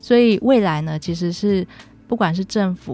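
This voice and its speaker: This woman's voice is fairly low, with a dark, mellow tone. She keeps a moderate pace and ordinary pitch variation. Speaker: infectious disease physician. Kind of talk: radio interview. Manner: formal.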